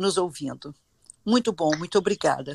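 Recorded very cleanly against a silent background, a woman's fairly low voice shows ordinary pitch variation, with a dry, close sound and no echo. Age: 70s. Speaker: dance and physical education teacher. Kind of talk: interview.

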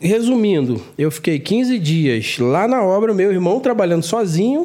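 Lively intonation marks this man's delivery. His tone is dark and mellow. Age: 40s. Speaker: construction contractor and content creator. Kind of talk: casual chat.

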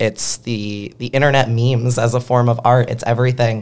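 With an American accent, a man speaks at a moderate pace at a medium pitch. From Pennsylvania, Philadelphia. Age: young. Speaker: activist. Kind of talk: interview conversation.

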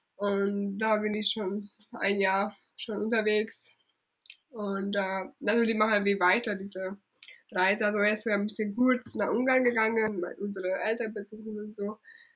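Speaking at a fairly slow pace, a woman holds a medium pitch in a monotone with flat intonation. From Hungary. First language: Hungarian (speaking German). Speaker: travel blogger. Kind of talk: interview. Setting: at her parents' home.

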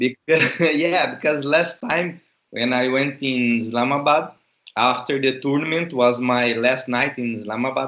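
A man with a Portuguese accent at a fairly slow pace. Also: medium pitch for a man, fairly even intonation. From Brazil. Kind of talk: interview.

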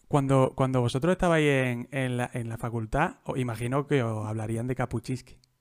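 A man's plain, everyday voice at medium pitch, moderate pace and fairly even intonation, with hardly any pauses and a dry, close sound with no echo. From Andalusia, Jaén. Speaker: podcast host. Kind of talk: casual interview.

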